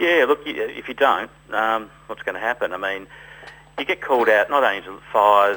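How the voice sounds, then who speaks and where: A man with an Australian accent, medium pitch and ordinary pitch variation. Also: moderate pace. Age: 60s. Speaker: winegrower and volunteer firefighter. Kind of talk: radio interview.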